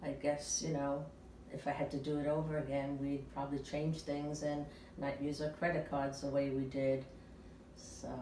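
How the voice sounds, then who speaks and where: Audible room echo surrounds a woman's very deep, low voice as she talks in a flat monotone at a moderate pace. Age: 70s. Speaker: retiree being interviewed. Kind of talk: personal interview. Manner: hesitant, many filler sounds.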